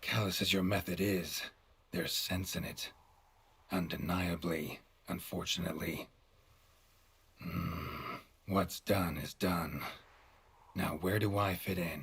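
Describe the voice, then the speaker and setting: A man puts on a raspy character voice, very deep and low in pitch, with a deadpan tone. His pace is fairly slow, broken by long, frequent pauses. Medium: video game. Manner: terse, dry, deadpan.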